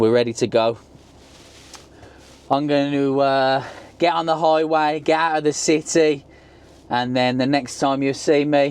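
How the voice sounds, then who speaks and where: A man with a Birmingham accent and a fairly high pitch, at a fairly slow pace, with long, frequent pauses, fairly even intonation and very even loudness. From England, Birmingham. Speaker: travel vlogger. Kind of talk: casual vlog narration.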